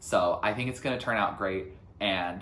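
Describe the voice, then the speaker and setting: The man's tone is bright and sharp, with ordinary pitch variation. Room echo can be heard. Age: 20s. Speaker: youtuber. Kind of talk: personal vlog reflection. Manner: loud; energetic.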